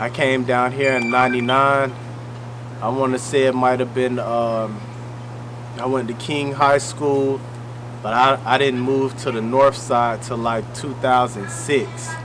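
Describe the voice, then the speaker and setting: Over noticeable background noise and audible room echo, a man speaks fairly slowly at medium pitch with monotone, flat intonation. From US South (Greenwood, Mississippi). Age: 30s. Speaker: battle rapper. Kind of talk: casual interview.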